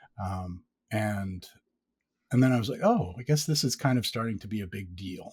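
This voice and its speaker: A man speaks at a moderate pace with a fairly low pitch, somewhat breathy. His loudness swings widely and his pauses are long and frequent, on a very clean recording with a silent background. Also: ordinary pitch variation. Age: 50s. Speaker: sleep story podcaster. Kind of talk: casual chat.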